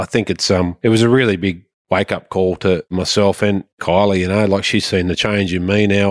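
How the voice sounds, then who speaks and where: Monotone, flat speech at a moderate pace with an Australian accent, dry and close with no echo, on a very clean recording with a silent background. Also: man. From Sydney, Australia. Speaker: farmer. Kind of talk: casual interview.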